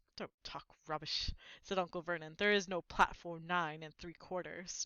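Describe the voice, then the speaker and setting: A woman's put-on character voice, gruff and fairly low, monotone, at a moderate pace. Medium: read story. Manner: gruff, sneering.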